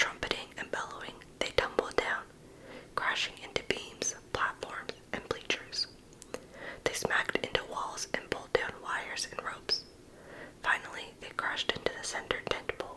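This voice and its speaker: A whisper in a gentle tone comes through noticeable background noise. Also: moderate pace. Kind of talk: ASMR bedtime story reading for adults. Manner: soft-spoken, gentle; whispered.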